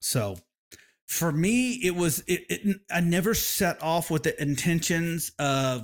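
Lively intonation with an American accent, on a very clean recording with a silent background. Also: man. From Oklahoma, US. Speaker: barbecue business owner and competition cook. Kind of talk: interview.

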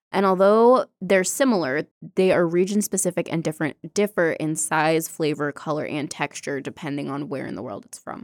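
With an American accent, a woman speaks in an ordinary speaking voice, fairly low in pitch, with lively intonation and big swings in loudness. She leaves hardly any pauses, and the sound is dry and close with no echo. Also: moderate pace, very clean recording, silent background. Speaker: podcast co-host. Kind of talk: reading aloud.

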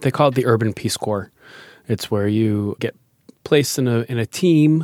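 In an American accent, a man with an ordinary speaking voice and medium pitch talks at a moderate pace, the sound dry and close with no echo. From Massachusetts, Foxborough. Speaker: beatboxer and improv performer. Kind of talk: casual interview.

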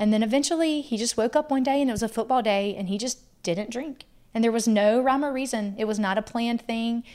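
A woman with a fairly high pitch speaks very fast, using ordinary pitch variation. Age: 30s. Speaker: wife of a country singer, mother. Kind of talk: casual interview chat.

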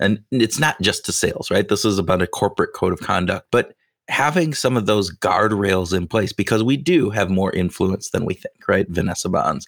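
A man speaks in an ordinary speaking voice, fairly low in pitch, with lively intonation at a moderate pace and hardly any pauses. The recording is very clean with a silent background and a dry, close sound with no echo. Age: 50s. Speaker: podcast host. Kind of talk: casual interview.

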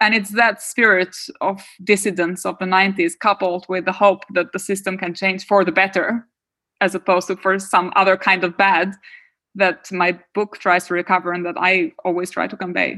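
On a very clean recording with a silent background, a woman with an Albanian accent speaks at a moderate pace in a bright, sharp tone, her medium pitch held in a monotone, flat intonation. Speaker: political theory professor. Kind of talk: interview.

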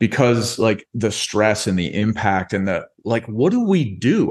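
With an unremarkable speaking voice, a man uses lively intonation at a medium pitch and a fairly slow pace against a quiet background. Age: 30s. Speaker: entrepreneur and coach, podcast guest. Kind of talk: casual interview chat.

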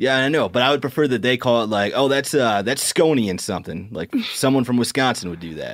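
A man speaks at a very fast pace with hardly any pauses. His intonation is lively. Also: medium pitch for a man. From South Dakota. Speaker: podcast co-host. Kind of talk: casual chat.

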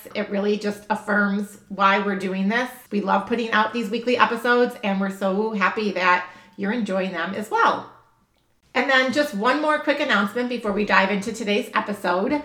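A woman talks at a moderate pace in a medium pitch with ordinary pitch variation. It is an unremarkable speaking voice. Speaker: podcast host. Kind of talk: podcast intro and interview conversation.

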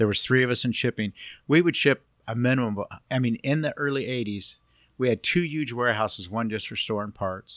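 A man with an American accent speaks in a normal speaking voice at medium pitch and a fairly quick pace, his pitch varying in an ordinary way. The recording is very clean with a silent background, dry and close with no echo. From Southern California (Long Beach, Cypress). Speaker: Volkswagen engine builder. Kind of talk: casual interview.

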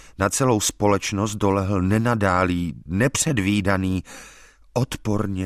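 In a very clean recording with a silent background, a solemn voice speaks very slowly with fairly even intonation and a dry, close sound with no echo. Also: man. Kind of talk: audiobook reading of a gothic horror story, first-person narration. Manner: formal, literary, solemn and grave.

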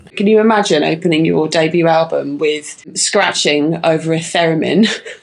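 Over noticeable background noise, a woman with a fairly low voice speaks at a fairly slow pace with ordinary pitch variation. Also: hardly any pauses, very even loudness. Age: 40s. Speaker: music podcast co-host. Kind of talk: casual chat. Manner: animated.

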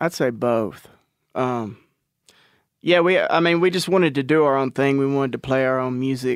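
The speaker has an East Texas accent and a moderate pace with ordinary pitch variation. Long, frequent pauses break up the speech. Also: man, medium pitch for a man. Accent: East Texas Southern. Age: 30s. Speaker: country rock musician. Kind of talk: casual chat.

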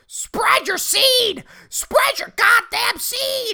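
Very slow delivery marks this put-on character voice. Its pitch is extremely high. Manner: squawking.

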